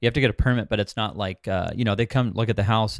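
A man with a Californian accent talks at a very fast pace in a fairly low voice with fairly even intonation. The recording is very clean, with a silent background and a dry, close sound with no echo. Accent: Californian American English. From Southern California, Orange County. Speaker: short-term rental investor and property manager. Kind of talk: interview. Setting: call.

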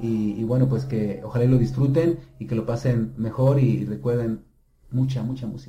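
A man speaks at medium pitch with a dark, mellow, somewhat breathy tone. His pace is moderate and his intonation fairly even. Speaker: rock pop singer. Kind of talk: interview. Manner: halting, many repetitions.

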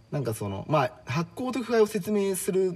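A man speaks at a moderate pace, somewhat breathy. His pitch swings very widely. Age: 30s. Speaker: track maker and lyricist of a poetry reading unit. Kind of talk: casual chat.

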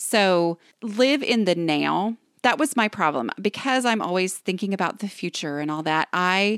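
In a very clean recording with a silent background and a dry, close sound with no echo, a woman with an unremarkable speaking voice talks at a moderate pace and medium pitch, her intonation lively. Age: 40s. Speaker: decluttering expert and author. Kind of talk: interview.

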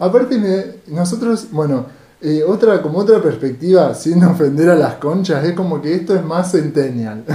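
Lively intonation at a moderate pace is heard over noticeable background noise and audible room echo. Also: man, high pitch for a man. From Argentina, Rosario. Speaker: podcast co-host. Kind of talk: casual chat.

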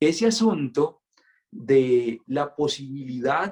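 Intonation from this man is lively. He speaks at a fairly high pitch. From Colombia, Santander. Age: 20s. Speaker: friar. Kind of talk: casual interview conversation.

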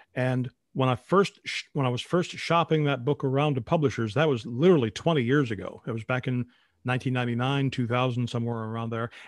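Talking at a very fast pace with a Midwestern American accent, a man uses a medium pitch and ordinary pitch variation. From US Midwest, northern Illinois. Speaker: retired radio newscaster, podcaster. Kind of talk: casual interview.

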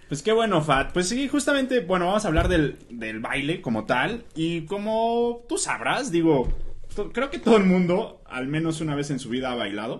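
A man with a high pitch and very wide pitch swings at a moderate pace, over noticeable background noise. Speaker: podcast host. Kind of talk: casual chat.

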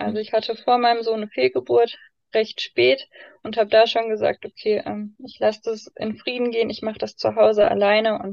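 Recorded with a dry, close sound and no echo, a woman with a fairly high pitch speaks at a moderate pace. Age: 20s. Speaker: foster mother and baby course leader. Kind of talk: personal testimony in interview. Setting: in-person recording in a room. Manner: many fillers, hesitant.

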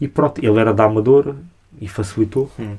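The man's voice falls at a medium pitch. He keeps a moderate pace. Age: 20s. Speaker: hip-hop media creator. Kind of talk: casual chat. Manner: halting.

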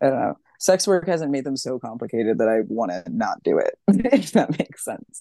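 A woman speaks with an American accent at a moderate pace, with hardly any pauses. The sound is dry and close, with no echo. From Los Angeles. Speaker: writer and sex worker. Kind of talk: podcast interview. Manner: halting, many fillers.

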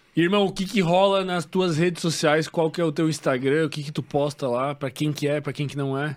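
A man with an ordinary speaking voice and fairly high pitch talks at a fairly quick pace with hardly any pauses and fairly even intonation. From Santa Catarina, Brazil (western, Xaxim). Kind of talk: casual interview chat.

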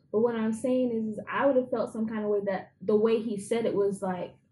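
A woman speaks in a fairly high, somewhat breathy voice. Her intonation is fairly even and her pace moderate. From London, England, then Jamaica.

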